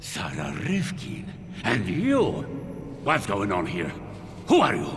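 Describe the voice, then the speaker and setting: Over clear background noise, a man delivers a put-on character voice at a fairly slow pace. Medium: video game.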